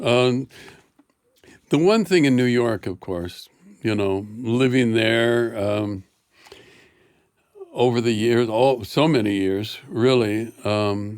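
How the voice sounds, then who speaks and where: Speaking very slowly with long, frequent pauses, a man with an American accent uses a medium pitch and ordinary pitch variation. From US Midwest. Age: 70s. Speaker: artist. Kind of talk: casual interview.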